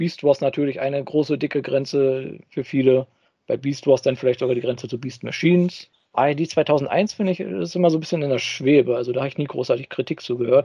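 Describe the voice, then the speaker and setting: A man talks at a fairly quick pace with an unremarkable speaking voice. His pitch is fairly high, with ordinary pitch variation. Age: 30s. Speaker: podcast co-host, toy news reporter. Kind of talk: casual chat.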